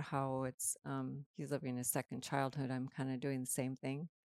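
A woman with an American accent, very deep and low in pitch, at a fairly slow pace, dry and close with no echo, on a very clean recording with a silent background. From Minnesota prairie. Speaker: guest, mother of the hosts. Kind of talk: casual interview chat.

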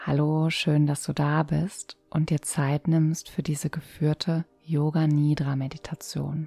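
The voice has a calm, soothing tone and moves at a very slow pace, with hardly any pauses. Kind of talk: guided meditation. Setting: soft background music. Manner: slow, calm, soothing, with long pauses; soft-spoken, gentle, even tone.

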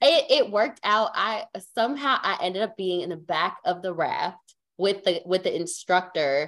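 This very clean recording, with a silent background, features a woman with an unremarkable speaking voice. She talks at a moderate pace. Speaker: podcast co-host. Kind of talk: casual chat.

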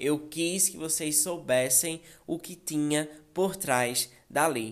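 A man with a fairly high pitch, ordinary pitch variation and a very slow pace. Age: 20s. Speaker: podcaster, fashion model. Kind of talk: casual personal monologue. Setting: studio with editor present.

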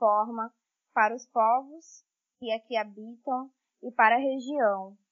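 In a fairly high pitch, a woman speaks very slowly with fairly even intonation. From Brazil, interior of Pará (Tailândia). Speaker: forest engineer. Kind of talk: casual interview chat.

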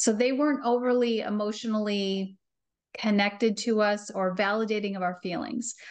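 Against a quiet background, a woman talks at a moderate pace with fairly even intonation and a fairly high pitch. She has a plain, everyday voice. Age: 50s. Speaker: parenting coach. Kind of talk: casual chat.

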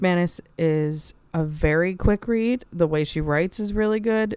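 A woman's medium-pitched voice with lively intonation at a very slow pace. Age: 30s. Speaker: book podcast co-host. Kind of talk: casual chat.

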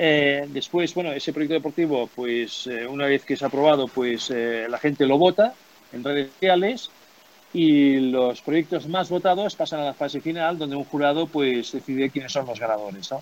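His pitch sits fairly high for a man and varies in an ordinary way. The man's pace is moderate. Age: 50s. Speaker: former company executive, sports agency director. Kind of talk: interview. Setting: remote call from home. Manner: halting, many repetitions and fillers.

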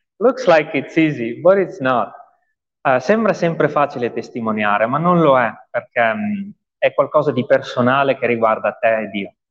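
Fairly high pitch from a man, at a moderate pace with very wide pitch swings. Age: 30s. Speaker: pastor. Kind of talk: testimony. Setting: church.

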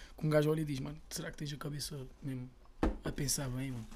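Somewhat breathy, a man with a fairly high pitch talks at a fairly quick pace. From Portugal, Lisbon (Chelas). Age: 20s. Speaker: rapper. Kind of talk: casual chat.

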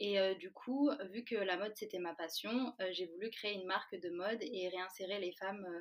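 Speaking at a moderate pace, a woman uses an unremarkable speaking voice of medium pitch with ordinary pitch variation. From France, Valence. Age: 20s. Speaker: food startup co-founder. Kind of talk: interview.

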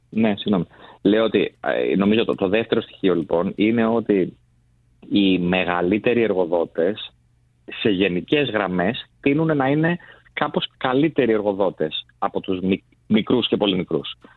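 A man talks at a fairly low pitch and a fairly slow pace, with long, frequent pauses. His intonation is lively and his loudness very even. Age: young. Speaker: recruitment business executive. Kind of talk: radio studio discussion. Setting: radio studio.

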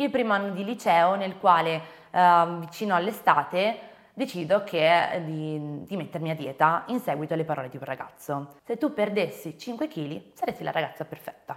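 Recorded very cleanly against a silent background, a woman with a fairly low pitch and lively intonation speaks at a moderate pace in an ordinary speaking voice. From Venice, Italy. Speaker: eating disorder awareness content creator. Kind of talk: interview testimony.

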